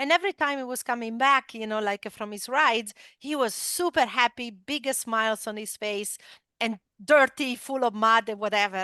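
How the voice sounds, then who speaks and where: With an Italian accent, a woman speaks in a fairly high, bright, sharp voice whose loudness swings widely, the background quiet. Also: dry, close sound with no echo. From Italy. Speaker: esports company founder and former motorcycle racer. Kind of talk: interview storytelling. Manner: many filler words, hesitant.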